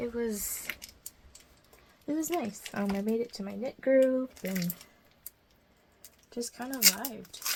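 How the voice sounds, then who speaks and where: Soft-spoken and fairly high in pitch, a woman talks at a very slow pace with ordinary pitch variation and long, frequent pauses over noticeable background noise. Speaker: crafting YouTuber. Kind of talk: casual chat while tidying. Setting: home craft room. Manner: casual, many fillers; soft-spoken, quiet.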